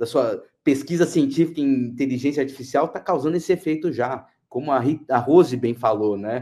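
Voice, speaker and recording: A man speaks at a moderate pace. His pitch sits fairly high, with a dark, mellow tone. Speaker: international affairs expert. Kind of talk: interview discussion.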